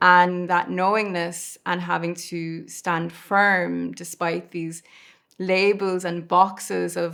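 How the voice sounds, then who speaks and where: A woman's fairly low-pitched voice in a very clean recording with a silent background. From Ireland, raised in UK from age four. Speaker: podcast host. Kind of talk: podcast interview.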